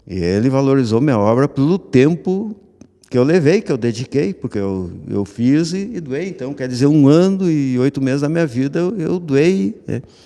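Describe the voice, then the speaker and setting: A man talks at a moderate pace in a fairly high voice with a dark, mellow tone and very wide pitch swings. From southern Brazil, Rio Grande do Sul (Missões region). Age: 60s. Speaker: artist, sculptor. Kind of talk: radio interview. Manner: halting, many restarts.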